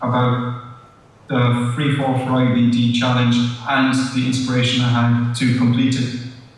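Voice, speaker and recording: Amid noticeable background noise and audible room echo, a man talks at a fairly slow pace. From Ireland (Cork). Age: 20s. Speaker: patient speaker, trainee pilot. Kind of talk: conference talk.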